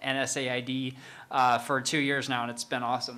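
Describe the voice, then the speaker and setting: A man's bright, sharp tone with an American accent. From Salt Lake City, Utah. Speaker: former pro mountain bike racer. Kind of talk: panel discussion. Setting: stage with audience.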